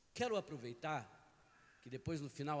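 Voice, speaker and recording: Here is a man speaking. His pitch is fairly high. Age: 60s. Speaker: pastor. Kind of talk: sermon. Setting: church.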